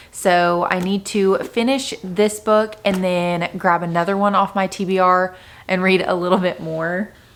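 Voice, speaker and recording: A woman talks at a fairly slow pace in a medium pitch. Her intonation is monotone and flat. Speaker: book vlogger. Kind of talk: casual vlog talk to camera.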